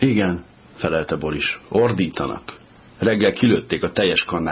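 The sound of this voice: What you hear is an unforced reading voice.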